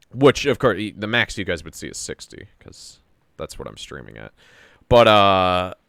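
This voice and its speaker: A fairly low-pitched man's voice with vocal fry and lively intonation at a moderate pace, dry and close with no echo, on a very clean recording with a silent background. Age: 20s. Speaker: video game streamer. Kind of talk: casual chat. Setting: live stream. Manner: halting.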